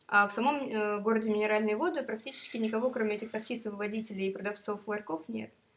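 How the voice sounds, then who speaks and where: There is noticeable background noise as a woman talks at a very fast pace. Her pitch is fairly high, with ordinary pitch variation. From Moscow. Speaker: tourist. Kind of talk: casual chat.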